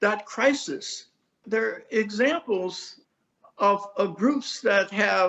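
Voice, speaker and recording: Speaking very slowly, a man with a high pitch shows ordinary pitch variation. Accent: American. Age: 80s+. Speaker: community activist. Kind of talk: interview.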